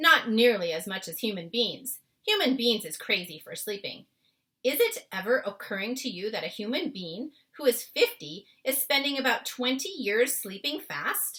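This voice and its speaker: Putting on a character voice, a woman speaks at a moderate pace with a high pitch. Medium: read story. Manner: ungrammatical, word-mangling, warm.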